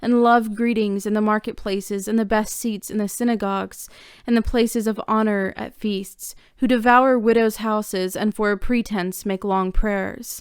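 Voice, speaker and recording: In a very clean recording with a silent background, a woman speaks at a moderate pace in a monotone, flat intonation. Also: fairly high pitch for a woman. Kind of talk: scripture reading.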